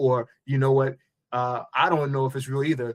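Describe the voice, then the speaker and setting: A man with an American accent, medium pitch, moderate pace. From New York. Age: 50s. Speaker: entrepreneur. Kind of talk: podcast interview.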